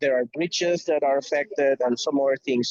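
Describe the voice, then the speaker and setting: This man has a Spanish accent. His pitch is fairly high. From Venezuela. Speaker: logistics professional. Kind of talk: video call update. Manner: halting, many fillers.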